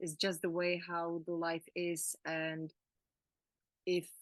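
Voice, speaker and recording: A woman with a Czech accent, fairly low-pitched, in a monotone, flat delivery at a very slow pace, with a dry, close sound and no echo. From Czech Republic. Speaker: emotional healing coach. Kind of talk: casual chat. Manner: halting.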